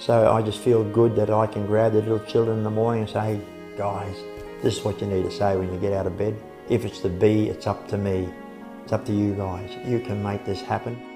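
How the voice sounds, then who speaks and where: Music plays in the background as a man with an Australian accent speaks at a fairly quick pace. His voice is fairly low and his intonation monotone and flat. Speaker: Navy veteran, nippers coach. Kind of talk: interview answer.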